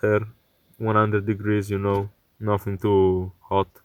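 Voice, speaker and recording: On a very clean recording with a silent background, a man with a fairly low voice and a non-native accent speaks at a moderate pace. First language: not English. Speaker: electronics repair youtuber. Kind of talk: tutorial. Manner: hesitant, many fillers.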